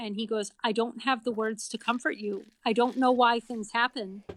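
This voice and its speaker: A woman with an American accent and an unremarkable speaking voice talks at a fairly high pitch. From Massachusetts, Boston area. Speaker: parent of NICU baby, author. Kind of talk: casual interview, personal story.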